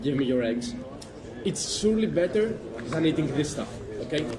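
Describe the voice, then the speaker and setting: A man with a Greek accent, audible room echo and noticeable background noise. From Greece. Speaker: passerby. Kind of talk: street debate. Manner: hesitant, halting.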